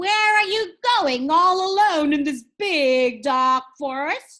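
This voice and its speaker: A put-on character voice from a woman, very slow and high in pitch. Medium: read story. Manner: sly, wheedling.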